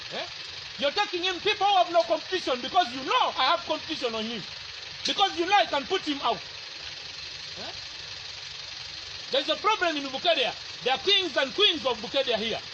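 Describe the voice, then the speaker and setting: Over noticeable background noise, a man with an extremely high pitch talks at a fairly quick pace with lively intonation and long, frequent pauses. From Uganda, Teso region. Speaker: aspiring parliamentary candidate. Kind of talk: heated confrontation. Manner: loud; animated.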